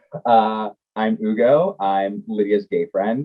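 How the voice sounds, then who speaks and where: Very slow and with lively intonation, a man with an American accent speaks at a fairly low pitch. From Indiana, US Midwest. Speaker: podcast co-host. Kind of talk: casual chat.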